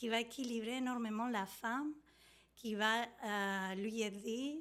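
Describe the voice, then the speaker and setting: A woman's fairly high voice in a Spanish accent, very slow pace and fairly even intonation. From Argentina. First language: Spanish (speaking French). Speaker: prenatal yoga teacher and doula. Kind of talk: interview. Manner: halting, many hesitations.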